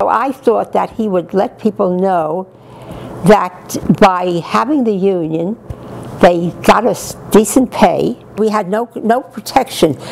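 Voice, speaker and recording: Over noticeable background noise, a woman with a New York accent speaks very slowly at medium pitch with ordinary pitch variation. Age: 80s+. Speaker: retired teacher. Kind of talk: interview answer.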